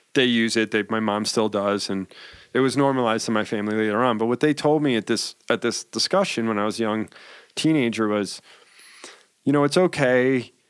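A man with an ordinary speaking voice talks at a fairly quick pace, medium pitch and ordinary pitch variation. The recording is very clean with a silent background, and the sound is dry and close with no echo. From New York. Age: 40s. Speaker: cannabis entrepreneur. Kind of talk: casual chat.

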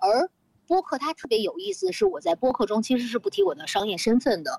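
In a dry, close sound with no echo, a woman speaks at a high pitch and a fairly quick pace, her pitch swinging very widely. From Beijing. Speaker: luxury retail manager, recurring podcast guest. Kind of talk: casual chat. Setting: outdoor terrace in Beijing hutong courtyard.

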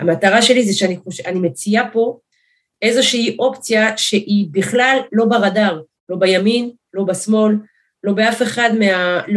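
Using an ordinary speaking voice, a woman talks at a fairly slow pace and a fairly high pitch, with ordinary pitch variation. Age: 40s. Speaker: politician, primary candidate. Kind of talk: interview.

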